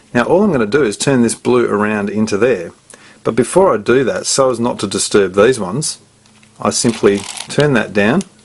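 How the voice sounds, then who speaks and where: Amid noticeable background noise, a man speaks at a medium pitch with ordinary pitch variation. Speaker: puzzle tutorial presenter. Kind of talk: tutorial. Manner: fast.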